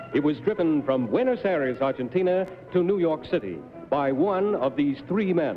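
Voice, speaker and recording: A man's fairly high voice, with lively intonation and a moderate pace, plays against music in the background. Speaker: game show announcer. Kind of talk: TV game show announcement.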